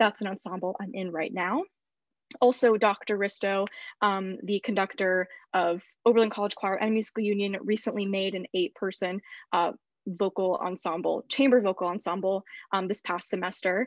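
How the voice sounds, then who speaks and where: A woman talks in a normal speaking voice at a medium pitch and moderate pace, with fairly even intonation. The sound is dry with no echo over a quiet background. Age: 20s. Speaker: college student; panelist. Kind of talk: panel discussion. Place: home room. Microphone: video call.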